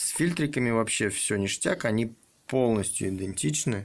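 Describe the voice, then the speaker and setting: This man's speech moves at a fairly slow pace with lively intonation. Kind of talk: tutorial. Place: garage. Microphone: phone near.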